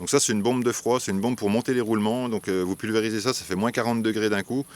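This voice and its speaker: Fairly even in intonation, the man talks at a fairly low pitch. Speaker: wasp nest removal specialist. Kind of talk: tutorial. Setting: outdoors. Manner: hesitant, many fillers.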